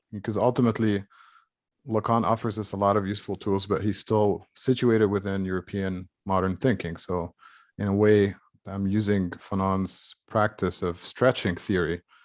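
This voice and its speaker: A fairly low, monotone and flat male voice at a moderate pace comes across dry and close with no echo on a very clean recording with a silent background. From Egypt, Cairo. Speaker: academic. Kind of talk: seminar discussion.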